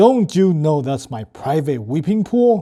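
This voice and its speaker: In a put-on character voice, a man speaks at a moderate pace with a fairly high pitch. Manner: angry.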